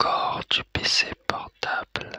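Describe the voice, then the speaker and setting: A man whispering at a very slow pace, with a dry, close sound and no echo. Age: 30s. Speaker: ASMR content creator. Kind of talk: ASMR explanation to camera. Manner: soft-spoken, whispered.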